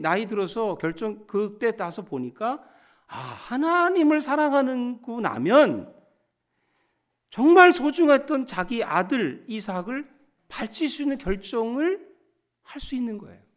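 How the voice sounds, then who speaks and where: Very slow speech with long, frequent pauses, big swings in loudness and very wide pitch swings comes through on a very clean recording with a silent background. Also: man, extremely high pitch for a man. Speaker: pastor. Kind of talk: sermon.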